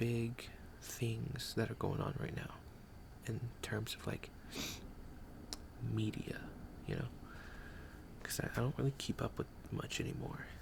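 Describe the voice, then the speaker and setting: A man whispering at a fairly slow pace, with long, frequent pauses. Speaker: ASMR creator. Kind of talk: ASMR casual talk to viewer. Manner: soft-spoken.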